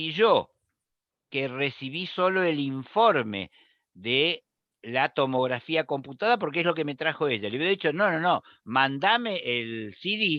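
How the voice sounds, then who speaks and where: A man with a fairly high pitch talks at a fairly slow pace. His pitch swings very widely. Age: 70s. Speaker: nephrologist. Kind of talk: lecture Q&A discussion.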